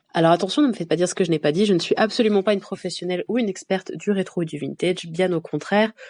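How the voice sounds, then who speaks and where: Against a quiet background, a woman talks very fast at a medium pitch, her tone dark and mellow, with ordinary pitch variation. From France. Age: 20s. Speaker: podcast host. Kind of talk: podcast monologue.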